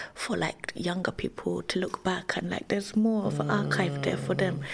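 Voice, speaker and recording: Against noticeable background noise, a woman with a London accent talks at a fairly quick pace. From East London (Tower Hamlets). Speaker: illustrator and educator. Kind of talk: casual interview chat.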